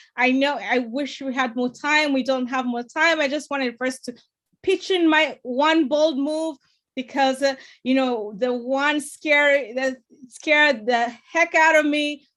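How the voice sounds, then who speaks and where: Using ordinary pitch variation, a woman with a high pitch speaks at a fairly slow pace. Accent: non-native. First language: not English. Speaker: political candidate and TV producer. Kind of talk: panel discussion.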